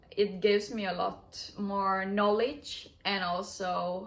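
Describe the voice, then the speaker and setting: With a Finnish accent, a woman speaks in a medium-pitched voice with monotone, flat intonation. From Finland. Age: 20s. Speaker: vlogger sharing personal experience. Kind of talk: personal testimony. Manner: halting.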